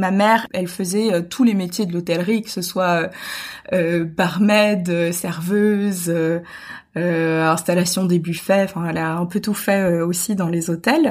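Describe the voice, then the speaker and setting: Very slowly, a woman speaks in a fairly low voice with fairly even intonation. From international childhood (Gabon, Brazil), French roots. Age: 20s. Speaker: eco-travel advocate. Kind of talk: casual interview. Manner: hesitant, many fillers and repetitions.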